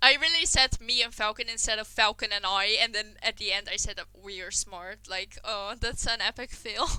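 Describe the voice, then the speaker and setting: This woman speaks with a non-native accent. Her pitch is fairly high. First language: not English. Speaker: podcast host. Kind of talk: casual chat.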